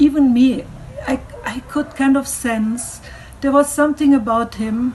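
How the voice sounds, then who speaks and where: Noticeable background noise sits behind a woman with a high pitch. She talks at a fairly slow pace with fairly even intonation. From Germany. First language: German. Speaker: cultural speaker. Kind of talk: online talk.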